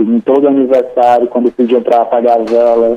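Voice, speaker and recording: A man's voice at medium pitch and moderate pace. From Sobral, Ceará, Brazil. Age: young. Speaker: writer. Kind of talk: radio interview. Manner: halting.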